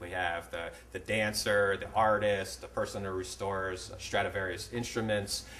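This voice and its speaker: A man with an American accent, hardly any pauses, and audible room echo. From upstate New York. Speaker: architect. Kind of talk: lecture. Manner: fast; halting.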